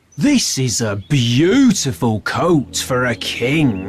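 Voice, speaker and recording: A man's put-on character voice, medium in pitch, delivered at a very slow pace. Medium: audio drama.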